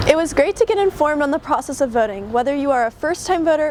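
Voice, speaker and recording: Lively intonation carries a fairly quick pace. Noticeable background noise runs underneath. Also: woman. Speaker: student TV news reporter. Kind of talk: political news package reporting.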